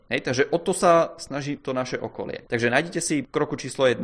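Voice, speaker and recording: The background is quiet as a man speaks with ordinary pitch variation. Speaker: podcast co-host, management blogger. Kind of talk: casual chat.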